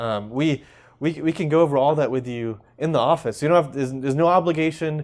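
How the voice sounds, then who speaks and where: In a very clean recording with a silent background, a man with an American accent talks at a fairly quick pace, his fairly high pitch showing ordinary variation. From US South, Alabama (Hoover). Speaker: dentist. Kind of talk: TV interview. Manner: halting, many repetitions.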